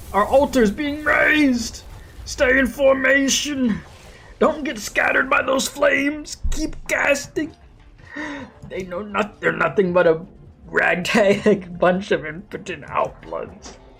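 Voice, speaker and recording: Over music in the background, a put-on character voice with fairly high pitch moves at a fairly slow pace. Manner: commanding, shouting.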